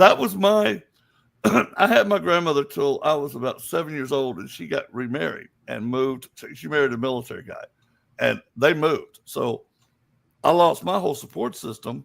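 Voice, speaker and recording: Moderate-paced speech with a Southern US accent on a very clean recording, silent background. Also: man, big swings in loudness. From US South. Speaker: psychic. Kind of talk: interview.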